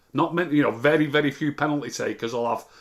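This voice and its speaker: Speaking with an English accent, a man uses ordinary pitch variation. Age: 60s. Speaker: football pundit. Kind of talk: casual chat. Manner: halting.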